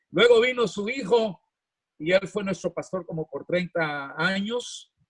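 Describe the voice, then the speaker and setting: In a dry, close sound with no echo, a man with a high pitch speaks at a fairly slow pace with ordinary pitch variation. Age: 80s+. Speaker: pastor. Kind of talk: sermon.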